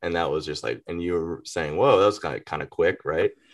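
This man speaks with an Atlanta accent. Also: quiet background. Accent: Southern US (Atlanta). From Greater Atlanta, US South. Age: 30s. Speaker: rapper. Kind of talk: casual chat.

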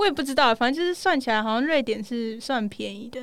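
Her voice is high in pitch. The woman is heard in a very clean recording with a silent background. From United States. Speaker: university student, former exchange student. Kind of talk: casual interview chat. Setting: small recording studio.

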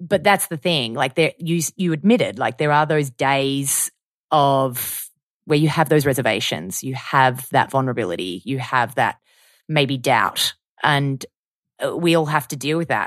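Recorded very cleanly with a silent background and a dry, close sound with no echo, a woman in an Australian accent speaks at a moderate pace with a very deep, low pitch and lively intonation. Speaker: podcast host. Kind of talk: casual chat.

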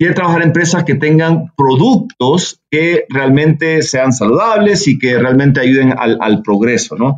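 A man with a normal speaking voice and a fairly high pitch talks fairly slowly with lively intonation, hardly any pauses and very even loudness. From El Salvador. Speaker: business executive. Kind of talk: interview.

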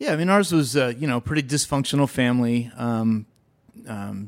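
A plain, everyday voice from a man with an American accent, medium in pitch with ordinary pitch variation, fairly quick in pace, on a very clean recording with a silent background. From western Pennsylvania, near Pittsburgh. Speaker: entrepreneur. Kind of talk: interview.

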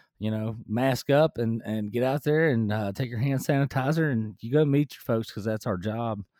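In a relaxed tone with an American accent, a man speaks at a moderate pace and medium pitch with ordinary pitch variation. The very clean recording has a silent background and a dry, close sound with no echo. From rural Kentucky, US. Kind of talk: casual interview chat. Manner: relaxed, laid-back, joking.

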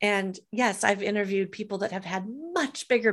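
The audio is very clean, and the background is silent. Speech moves at a moderate tempo. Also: woman. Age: 50s. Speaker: entrepreneur, author and podcast host. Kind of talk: interview. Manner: talkative.

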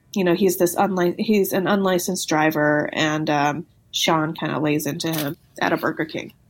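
Fairly even intonation in a Californian accent, on a very clean recording with a silent background. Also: woman, fairly low pitch for a woman, moderate pace. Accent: Californian American. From Los Angeles, San Fernando Valley. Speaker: novelist and lawyer. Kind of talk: interview.

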